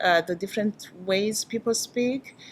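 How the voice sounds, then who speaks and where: The speaker talks at a fairly slow pace with a Burundian accent and fairly even intonation. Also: woman. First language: Kirundi. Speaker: English teacher educator. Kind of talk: promotional interview.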